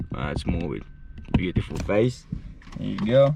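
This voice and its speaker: A man speaks at a moderate pace with a non-native accent. His pitch is medium, and his intonation is lively. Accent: noticeable non-native. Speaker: van life vlogger. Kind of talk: casual vlog talk. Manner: hesitant, filler words.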